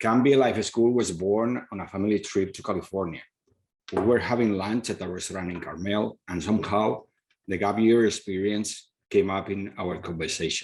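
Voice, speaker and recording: In a Spanish accent, a man speaks at a moderate pace with a fairly low pitch, fairly even intonation and big swings in loudness. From Spain. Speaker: school founder, former professor. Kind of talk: presentation.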